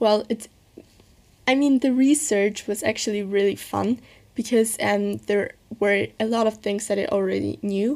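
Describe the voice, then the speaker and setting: Her speech has a German accent and a moderate pace. The woman's fairly high voice keeps a fairly even intonation. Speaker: podcaster. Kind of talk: casual monologue.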